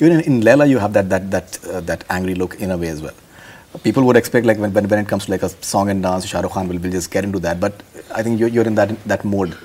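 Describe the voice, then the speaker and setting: A man speaks at a very fast pace in a fairly low pitch. Noticeable background noise runs behind him. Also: ordinary pitch variation. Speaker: film journalist. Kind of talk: interview.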